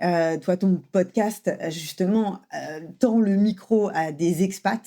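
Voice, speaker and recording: Recorded very cleanly over a silent background, a woman's dark, mellow voice sits at a fairly low pitch with ordinary pitch variation. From France. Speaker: French language coach. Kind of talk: casual podcast conversation.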